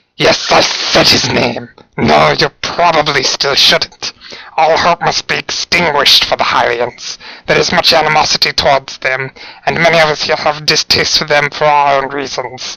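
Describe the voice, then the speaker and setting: In a put-on character voice, a man speaks at a moderate pace with a fairly high pitch. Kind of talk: dramatic speech to a crowd. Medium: role play. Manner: commanding, fervent.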